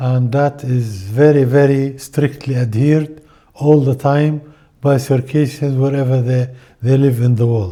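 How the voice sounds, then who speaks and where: With a dark, mellow tone at a medium pitch, a man speaks at a fairly slow pace with fairly even intonation. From Jordan, Amman. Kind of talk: interview testimony.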